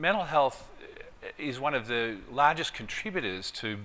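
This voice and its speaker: A man with an Australian accent talks at medium pitch and a moderate pace. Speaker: clinical psychology professor. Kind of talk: conference presentation.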